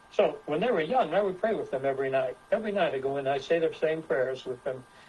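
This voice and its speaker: A man talks at a very fast pace with ordinary pitch variation. Noticeable background noise runs under his voice. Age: 70s. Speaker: presenter with science degrees. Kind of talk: presentation with group discussion. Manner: halting, many repetitions.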